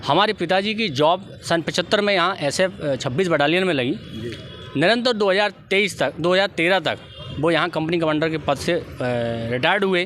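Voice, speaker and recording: Music plays in the background as the speaker talks at a moderate pace, with very even loudness and ordinary pitch variation. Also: man, high pitch for a man. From India, Guna, Madhya Pradesh. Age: 30s. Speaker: politician, election candidate. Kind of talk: interview. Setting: outdoors. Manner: formal.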